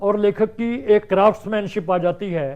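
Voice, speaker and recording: A man's voice with ordinary pitch variation. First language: Punjabi (speaking Hindi). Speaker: writer and translator. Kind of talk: interview.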